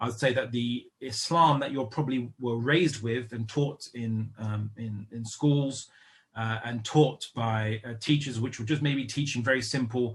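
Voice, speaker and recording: Someone with a British accent speaks at a fairly slow pace with fairly even intonation and a somewhat breathy sound. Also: man. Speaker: Islamic lecturer. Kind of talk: lecture. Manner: hesitant, many fillers.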